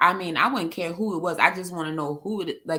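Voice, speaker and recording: The woman's tone is bright and sharp, her pitch fairly low. She speaks at a moderate pace with lively intonation. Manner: casual, incredulous.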